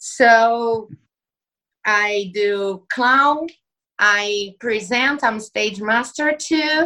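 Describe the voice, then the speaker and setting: A fairly high-pitched woman with a Portuguese accent, bright, sharp tone, ordinary pitch variation and a very slow pace. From Brazil. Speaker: circus performer. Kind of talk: casual interview.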